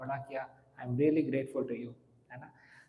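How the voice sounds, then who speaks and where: Against noticeable background noise and audible room echo, a man speaks in a monotone, flat intonation. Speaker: monk and spiritual teacher. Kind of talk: religious lecture. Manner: clear articulation; conversational.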